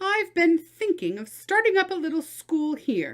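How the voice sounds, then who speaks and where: A woman in a put-on character voice speaks at an extremely high pitch with lively intonation and a moderate pace, on a very clean recording with a silent background. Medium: read story.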